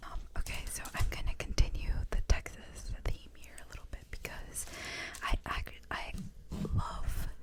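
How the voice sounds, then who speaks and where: Whispering at a fairly slow pace, a woman's voice makes big swings in loudness over noticeable background noise. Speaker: ASMR channel host. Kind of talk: ASMR show and tell.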